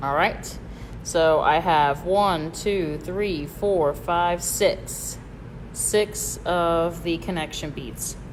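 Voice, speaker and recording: A woman with a slight Southern US accent speaks very slowly, with audible room echo. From Michigan. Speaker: bead store instructor. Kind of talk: live tutorial. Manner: casual, hesitant with fillers.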